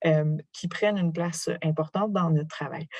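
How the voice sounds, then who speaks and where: Somewhat breathy, with a dark, mellow tone, a woman speaks at a moderate pace in a fairly low pitch with fairly even intonation. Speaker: professor. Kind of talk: lecture.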